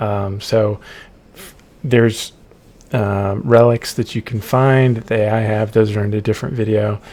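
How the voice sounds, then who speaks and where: A soft-spoken man talks at a moderate pace and fairly low pitch. His tone is dark and mellow, his intonation monotone and flat. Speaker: game developer. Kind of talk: narrated gameplay walkthrough. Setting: at home late at night. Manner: hesitant, many ums.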